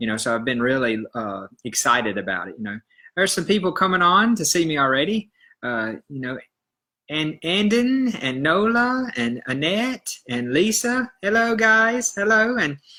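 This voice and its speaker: A man with a Southern US accent speaks at a moderate pace in a high, bright and sharp voice. His pitch swings very widely on a very clean recording with a silent background. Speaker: health educator, iridologist. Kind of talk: live stream talk. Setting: live video stream. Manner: hesitant, many fillers.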